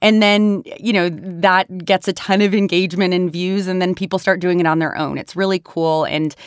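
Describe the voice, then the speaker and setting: A woman with an ordinary speaking voice and a medium pitch talks at a moderate pace with fairly even intonation, captured in a very clean recording with a silent background and a dry, close sound with no echo. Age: 30s. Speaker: founder of a digital political nonprofit. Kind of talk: interview.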